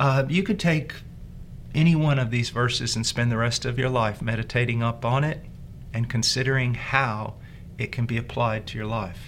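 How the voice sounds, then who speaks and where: With fairly even intonation and a somewhat breathy quality, the speaker talks at a moderate pace. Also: man. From rural area, farm upbringing. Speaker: pastor teaching a Bible course. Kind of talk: Bible lesson.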